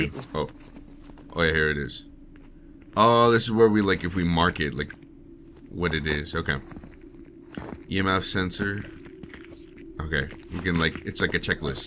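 Moderate pace with ordinary pitch variation and long, frequent pauses. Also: man, very deep, low pitch for a man. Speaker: voice actor. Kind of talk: casual gaming commentary. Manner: casual, excitable.

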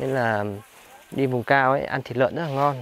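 A man speaks at a very fast pace with fairly even intonation, the sound dry with no echo and light noise in the background. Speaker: travel vlogger. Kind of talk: travel vlog narration with street chat. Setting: outdoors in a mountain village. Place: open country. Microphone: phone near.

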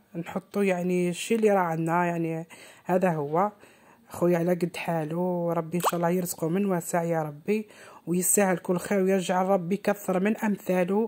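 On a very clean recording with a silent background, a woman speaks at a fairly low pitch and moderate pace, her dark, mellow tone held at a very even loudness in a monotone, flat intonation. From eastern Algeria. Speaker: home cooking vlogger. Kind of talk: vlog narration.

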